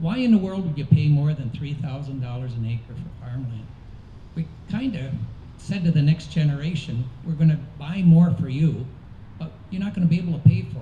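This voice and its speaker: A man's unremarkable speaking voice, fairly high in pitch, at a fairly quick pace with ordinary pitch variation and big swings in loudness. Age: 60s. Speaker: political candidate. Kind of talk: candidate forum answer.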